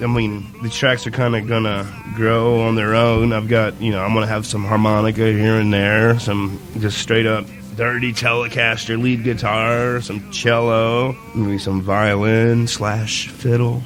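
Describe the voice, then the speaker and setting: A man speaks fairly slowly in a monotone, flat delivery. Noticeable background noise and audible room echo fill the recording. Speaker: singer-songwriter. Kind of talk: casual interview chat.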